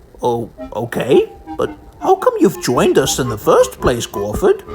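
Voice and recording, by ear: A cartoonish character voice talks at a moderate pace over clear music in the background.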